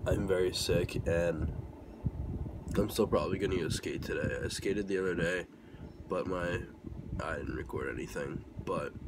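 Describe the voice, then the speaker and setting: Through loud background noise, a man talks at a moderate pace with long, frequent pauses. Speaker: vlogger. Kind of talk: casual vlog chat. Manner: weak, sluggish sick voice. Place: home room. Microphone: phone near.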